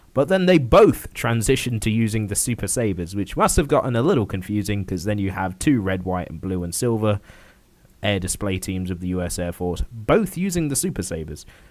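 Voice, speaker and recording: A man with a British accent speaks at a fairly quick pace in a fairly low pitch, his intonation lively. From Britain. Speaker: gaming livestreamer. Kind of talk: casual gameplay livestream commentary. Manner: casual, with frequent filler words.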